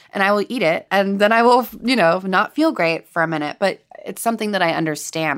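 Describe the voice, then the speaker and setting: A woman with a Californian accent at a very fast pace. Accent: Californian American. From Los Angeles, US. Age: 30s. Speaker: chef and food writer. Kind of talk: interview conversation.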